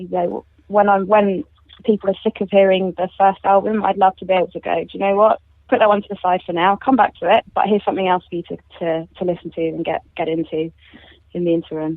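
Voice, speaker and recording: Her fairly even intonation held at a medium pitch, a woman speaks at a very fast pace. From London, England. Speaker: singer-songwriter. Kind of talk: radio interview.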